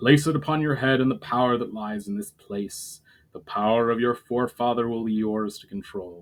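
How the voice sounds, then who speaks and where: Putting on a booming, resonant character voice at a medium pitch, a man moves at a moderate pace with big swings in loudness. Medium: read story. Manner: formal, grave.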